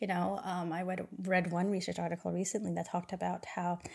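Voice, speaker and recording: Talking at a very fast pace with an American accent, a woman has a fairly low pitch and vocal fry. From California. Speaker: sleep medicine physician. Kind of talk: interview conversation.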